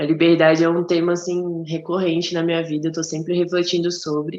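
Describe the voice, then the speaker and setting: A woman speaks in a plain, everyday voice. Her pitch is fairly low and her pace moderate. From Brazil, Mato Grosso. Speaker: podcast co-host. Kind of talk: casual chat.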